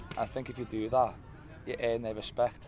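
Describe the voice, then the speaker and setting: A man with a Liverpool accent, medium in pitch, talking at a very fast pace in monotone, flat intonation over noticeable background noise. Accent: Scouse. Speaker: youth football coach. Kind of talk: interview. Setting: football ground.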